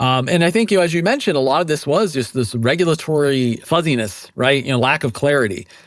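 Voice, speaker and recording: A man with an American accent, very fast, with hardly any pauses, fairly high in pitch, lively in intonation and very even in loudness. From United States. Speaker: blockchain foundation education director, former professor. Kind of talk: podcast interview. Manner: hesitant, many fillers.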